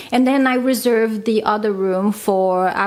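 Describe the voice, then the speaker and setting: A woman's medium pitch with ordinary pitch variation. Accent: non-native. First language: not English. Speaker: vlogger, stay-at-home mom. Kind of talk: casual vlog talk.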